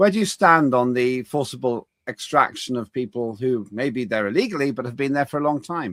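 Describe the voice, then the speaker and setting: Dry and close with no echo, a man at medium pitch speaks in a British accent at a moderate pace with lively intonation. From United Kingdom. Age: 60s. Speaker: talk show host, former politician. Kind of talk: interview.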